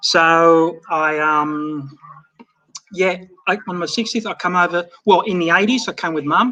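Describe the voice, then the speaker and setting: Speaking fairly slowly with an Australian accent, a man has a high-pitched voice with a bright, sharp tone. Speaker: overseas fan. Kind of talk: casual chat.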